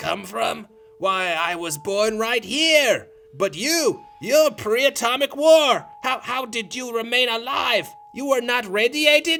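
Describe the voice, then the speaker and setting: At a fairly slow pace, a man performs a put-on character voice pitched extremely high. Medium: audio drama. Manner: calm, gentle.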